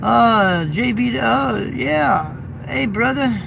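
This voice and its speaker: Lively intonation marks this voice with an American accent, heard with audible room echo and noticeable background noise. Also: man. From Indiana. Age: 50s. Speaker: truck driver and YouTuber. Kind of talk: casual live stream chat. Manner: casual and chatty.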